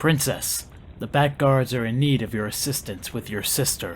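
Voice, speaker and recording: A man's put-on character voice at medium pitch and a moderate pace, with clear background noise. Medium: audio drama. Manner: deferential, formal.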